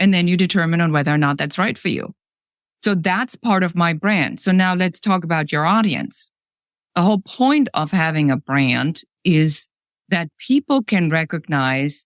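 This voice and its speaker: In a very clean, dry, close recording with a silent background and no echo, a woman with a German accent speaks at a moderate pace with fairly low pitch, lively intonation and very even loudness. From Germany. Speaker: business coach. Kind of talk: podcast interview. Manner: direct, to the point.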